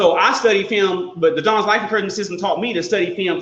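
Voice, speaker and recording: There is audible room echo around a man with an American accent. His pitch is high, with ordinary variation. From Texas. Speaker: life coach and personal trainer. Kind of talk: casual interview chat. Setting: live video stream. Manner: fast; energetic.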